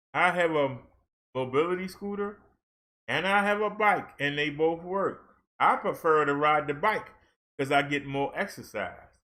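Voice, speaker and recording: A man speaks in a high pitch with an animated tone and ordinary pitch variation. His pace is fairly slow, with long, frequent pauses. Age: 60s. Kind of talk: casual monologue.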